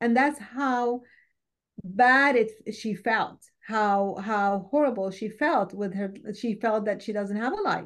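Against a quiet background, a woman speaks very slowly with an Arabic accent. Her pitch is fairly high and varies in an ordinary way. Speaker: war survivor and refugee. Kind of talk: interview testimony. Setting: video call.

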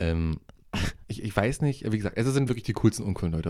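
Speaking very fast, a man has a dark, mellow tone, a fairly low pitch and ordinary pitch variation. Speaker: podcast co-host. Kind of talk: casual chat.

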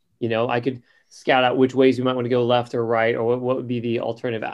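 A man talks in a medium pitch with a monotone, flat delivery. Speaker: tabletop game player. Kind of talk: tabletop roleplaying game session. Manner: subdued.

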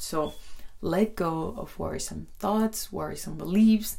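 A woman talks with a Spanish accent. Her pace is fairly slow. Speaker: podcast host. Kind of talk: solo podcast monologue. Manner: warm, friendly, conversational; somewhat hesitant with fillers.

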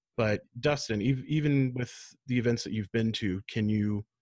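Against a quiet background, a man uses a normal speaking voice at a medium pitch. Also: dry, close sound with no echo. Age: 40s. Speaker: podcast host. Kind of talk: hosted panel discussion.

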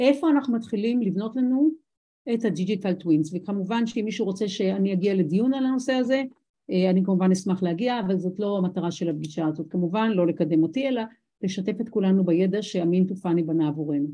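With lively intonation, a woman talks at a fairly quick pace in a medium pitch, her tone dark, mellow and somewhat breathy, over a quiet background. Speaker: business lecturer. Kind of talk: lecture.

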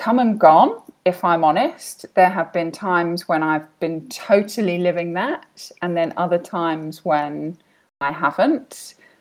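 In a British accent, a woman speaks at a very slow pace. Her pitch is fairly low, and the recording is very clean with a silent background. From Britain. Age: 30s. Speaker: life coach. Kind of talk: interview.

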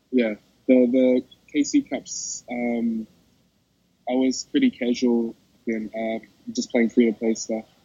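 In a New Zealand accent, a man talks at a medium pitch with monotone, flat intonation. His pace is very slow, with long, frequent pauses. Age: 20s. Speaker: esports champion. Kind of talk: interview. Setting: in a mall. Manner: halting.

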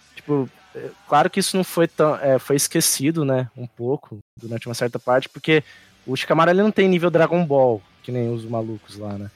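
Here is a man with a plain, everyday voice, a fairly high pitch and lively intonation. He talks at a moderate pace with big swings in loudness. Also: dry, close sound with no echo. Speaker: guest podcaster. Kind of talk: casual chat about anime.

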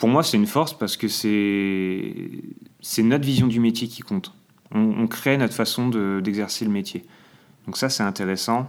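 Speaking at a fairly slow pace, a man with a medium-pitched voice shows ordinary pitch variation. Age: 20s. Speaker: trainee special educator. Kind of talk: interview testimony. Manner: hesitant, many fillers.

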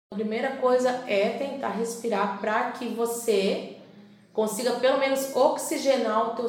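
Speaking at a very slow pace with fairly even intonation, a woman is heard amid noticeable background noise and audible room echo. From Santa Catarina, Brazil. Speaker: psychologist. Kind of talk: radio interview.

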